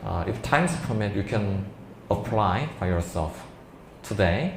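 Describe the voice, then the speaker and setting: A man with a Korean accent speaks fairly slowly in a fairly low pitch, with lively intonation and long, frequent pauses. Audible room echo and noticeable background noise surround him. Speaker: doctor giving a seminar lecture. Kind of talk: lecture. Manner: halting.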